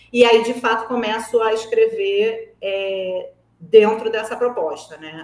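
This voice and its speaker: A woman speaks over noticeable background noise. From Brazil, Rio de Janeiro. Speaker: writer and screenwriter. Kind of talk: interview. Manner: conversational, with frequent fillers.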